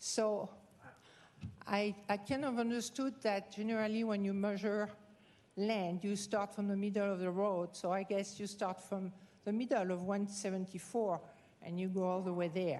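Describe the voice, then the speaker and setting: Speaking with a French accent, a woman uses a dark, mellow tone at a moderate pace with fairly even intonation. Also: medium pitch for a woman. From France. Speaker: rancher, public commenter. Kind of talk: public comment at county hearing. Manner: halting.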